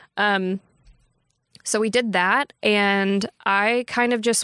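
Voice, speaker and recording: A woman with a Texan accent talks at a medium pitch with ordinary pitch variation, in a dry, close sound with no echo on a very clean recording with a silent background. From Texas, Texarkana. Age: 20s. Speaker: bank marketing professional. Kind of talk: casual chat. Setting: recorded livestream.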